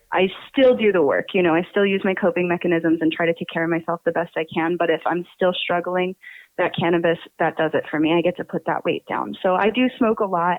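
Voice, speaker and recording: A woman with an American accent, a plain, everyday voice, fairly low pitch, ordinary pitch variation and a fairly quick pace. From Pennsylvania. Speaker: podcast co-host. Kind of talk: interview. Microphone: backup audio, tech issue.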